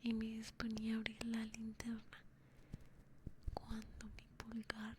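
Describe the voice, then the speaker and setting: A soft-spoken woman whispers very slowly, her voice somewhat breathy. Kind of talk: whispered ASMR story reading. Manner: whispered, soft.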